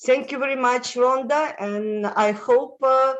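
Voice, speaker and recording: Here a woman speaks with a Russian accent. Her pace is fairly slow. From Moldova, former Soviet Union. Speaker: international lifestyle consultant. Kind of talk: interview. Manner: halting, many fillers.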